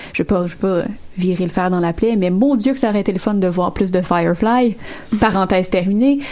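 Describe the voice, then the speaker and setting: Against noticeable background noise, a woman at a medium pitch talks at a fairly quick pace, her loudness very even and her pitch variation ordinary. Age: 20s. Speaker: podcast panelist. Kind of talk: casual chat.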